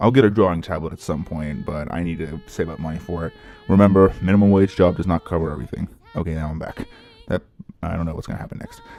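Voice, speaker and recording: Over music in the background, a man with a very deep, low pitch talks at a very fast pace, showing ordinary pitch variation and big swings in loudness. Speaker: YouTuber and ski rental shop worker. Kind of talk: casual vlog monologue. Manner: halting, with stutters and self-corrections.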